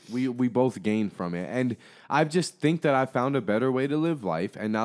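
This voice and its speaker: A man with a normal speaking voice at a moderate pace, lively intonation, very clean recording and silent background. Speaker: creator, rapper, podcaster. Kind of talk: casual chat. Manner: casual, profane, jokey.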